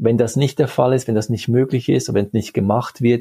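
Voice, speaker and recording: A man's medium-pitched, somewhat breathy voice with a dark, mellow tone and fairly even intonation, dry and close with no echo. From Switzerland, Geneva. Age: 40s. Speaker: sports scientist. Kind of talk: interview. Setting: video call.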